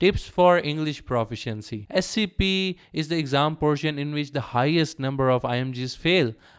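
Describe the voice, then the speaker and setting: Speaking with a strong non-native accent, a man uses a fairly high pitch, ordinary pitch variation and a moderate pace in a very clean recording with a silent background. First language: not English. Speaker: medical doctor. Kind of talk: tutorial.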